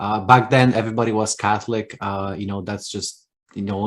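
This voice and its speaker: This very fast, flat monotone voice with a Polish accent comes through on a very clean recording with a silent background. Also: man. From Poland. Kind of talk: interview.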